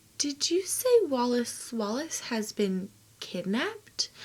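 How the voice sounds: A woman puts on a character voice that is high-pitched, soft-spoken and shaky. The act has a nervous, timid tone and a fairly slow pace.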